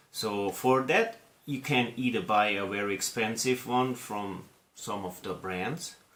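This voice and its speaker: A man speaks with an Austrian accent and ordinary pitch variation. Noticeable background noise runs under his voice. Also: medium pitch for a man, fairly slow pace. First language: German. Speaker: scale model hobbyist video host. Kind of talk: casual hobby tutorial. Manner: casual.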